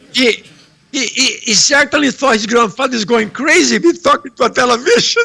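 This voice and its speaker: In a raised, projected voice, a man speaks at an extremely high pitch, fairly quickly and with lively intonation. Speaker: heart surgeon. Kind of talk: lecture. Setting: remote video presentation from home. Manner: loud.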